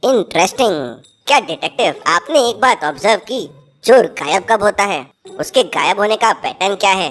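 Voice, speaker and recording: Using a cartoonish character voice at a medium pitch, a woman speaks at a moderate pace over faint music in the background. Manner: knowing, teacherly.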